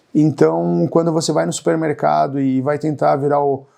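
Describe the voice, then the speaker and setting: With a dark, mellow tone and a fairly high pitch, a man talks at a fairly slow pace using ordinary pitch variation. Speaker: YouTuber on expat life. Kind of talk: vlog monologue. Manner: hesitant, many filler words.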